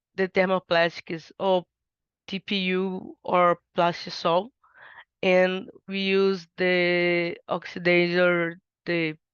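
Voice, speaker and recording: Speaking very slowly in a monotone, flat way, a woman with a medium pitch talks in a Portuguese accent. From Brazil. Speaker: undergraduate researcher. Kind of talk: research presentation. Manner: halting, many fillers and restarts.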